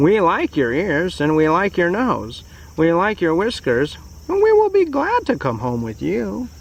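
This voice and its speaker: Moderate pace in a put-on character voice. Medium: read story.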